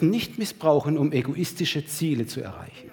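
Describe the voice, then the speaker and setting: His voice is somewhat breathy. The man's pitch is fairly high. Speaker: preacher. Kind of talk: sermon to a church congregation, with a livestream audience, teaching and exhorting. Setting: church hall with a live congregation and livestream.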